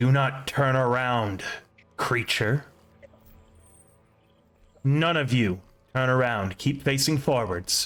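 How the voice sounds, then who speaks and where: Over background music, a man in a growling, put-on character voice speaks very slowly at a medium pitch, with long, frequent pauses. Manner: growling, commanding.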